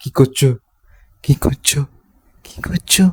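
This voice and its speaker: This is a put-on character voice at a low-to-middle pitch. It is soft-spoken throughout. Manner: girly.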